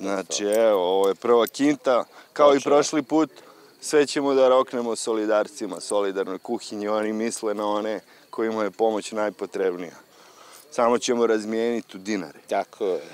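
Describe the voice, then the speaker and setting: This man talks at a moderate pace with ordinary pitch variation, and the sound is dry with no echo. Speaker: vendor, vlogger. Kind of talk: casual vlog chat. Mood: relaxed, joking. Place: market. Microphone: phone near.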